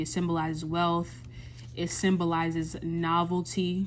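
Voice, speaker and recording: Noticeable background noise sits under the recording. Over it, a woman speaks at a fairly low pitch. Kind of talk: ASMR coloring video with soft motivational talk; casual talk to camera. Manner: soft-spoken, calming, rambling.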